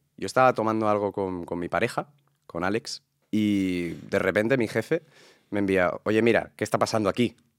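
This very clean recording, with a silent background and a dry, close sound with no echo, has a man talking fairly quickly in a plain, everyday voice that sits fairly low. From Catalonia, Spain (Sant Boi de Llobregat). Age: 20s. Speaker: actor and content creator. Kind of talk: interview.

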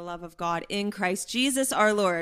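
In a very clean recording with a silent background, a woman with an American accent talks at a moderate pace and a medium pitch. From Pittsburgh, Pennsylvania. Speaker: biblical counselor. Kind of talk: testimony. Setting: at home in a kitchen.

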